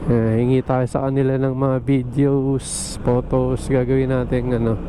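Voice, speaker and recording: A man's fairly slow, monotone, flat delivery at very even loudness, with noticeable background noise. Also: medium pitch for a man. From Philippines, Pasig, Metro Manila. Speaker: motorcycle vlogger. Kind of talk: casual vlog monologue. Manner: halting, many fillers.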